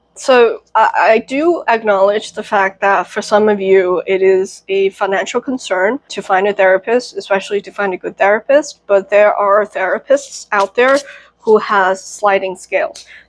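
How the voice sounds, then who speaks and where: A woman with a plain, everyday voice speaks at a moderate pace with hardly any pauses, using a medium pitch and ordinary pitch variation in a dry, close sound with no echo. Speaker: tarot reader. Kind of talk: tarot reading. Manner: casual, many fillers.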